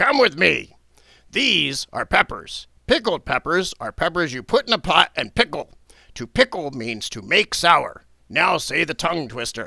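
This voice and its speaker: On a very clean recording with a silent background, a man puts on a loud character voice with a high pitch. He swings his pitch very widely at a moderate pace. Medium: read story. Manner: impatient, loud.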